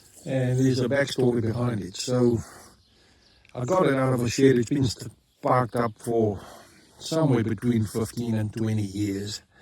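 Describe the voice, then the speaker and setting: In a South African accent, the speaker moves at a moderate pace with ordinary pitch variation and long, frequent pauses. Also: man, medium pitch for a man. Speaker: YouTuber, hobby tractor restorer. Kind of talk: casual vlog. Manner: halting, many fillers.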